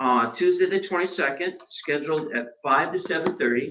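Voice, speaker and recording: A man speaks loudly at a moderate pace. His tone is bright and sharp. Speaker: city manager. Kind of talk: budget presentation at public meeting. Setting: commission meeting room. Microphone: no microphone, far from recording mic.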